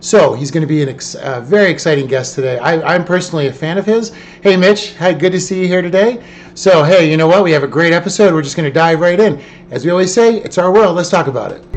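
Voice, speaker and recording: A high-pitched man's voice with an animated tone, ordinary pitch variation and a very fast pace, over noticeable background noise. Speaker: podcast host. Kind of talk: live-streamed podcast chat. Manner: loud.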